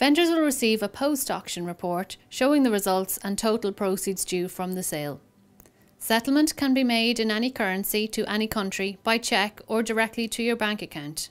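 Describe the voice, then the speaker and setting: In a very clean recording with a silent background, a woman with a plain, everyday voice speaks at a fairly quick pace, her fairly high pitch carrying lively intonation. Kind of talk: corporate promotional narration explaining an auction house's selling steps. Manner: clear, professional, measured.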